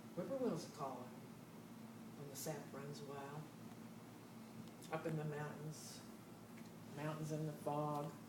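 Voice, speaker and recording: Noticeable background noise accompanies this woman's very deep, low voice. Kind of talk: poetry reading.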